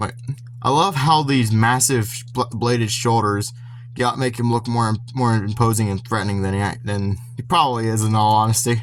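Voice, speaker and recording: Medium-pitched male speech at a moderate pace, fairly even in intonation, with noticeable background noise. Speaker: toy reviewer. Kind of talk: casual product review. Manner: halting, stuttering with many restarts.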